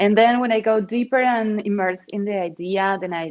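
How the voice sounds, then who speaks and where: A woman speaks with a Spanish accent at a fairly slow pace. Her pitch varies in an ordinary way. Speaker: digital artist. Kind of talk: interview. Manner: halting.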